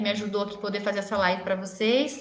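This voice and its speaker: Medium-pitched female speech with clear room echo and a noticeable layer of background noise. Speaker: dentist. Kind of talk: live stream Q&A talk. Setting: live video stream.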